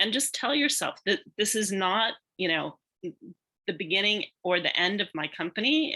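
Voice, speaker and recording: A woman with an American accent speaks at a medium pitch, her tone bright and sharp. Her pitch swings very widely over a very clean recording with a silent background. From United States. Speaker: business panelist. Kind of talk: panel discussion.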